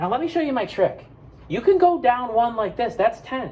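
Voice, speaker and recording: A man speaks loudly with an American accent over noticeable background noise. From Buffalo, New York, US. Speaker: elementary school teacher. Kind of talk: math lesson for kids. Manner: animated.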